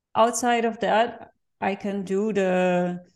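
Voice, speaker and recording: In a quiet background, a woman speaks with a Dutch accent. Her pitch is medium, with ordinary variation. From Netherlands. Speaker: NGO founder and marketing professional. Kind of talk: interview.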